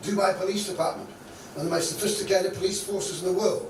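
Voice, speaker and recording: There is noticeable background noise and audible room echo. A man speaks at a high pitch. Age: 80s+. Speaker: Bible teacher and business trainer. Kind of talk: Bible lesson. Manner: animated.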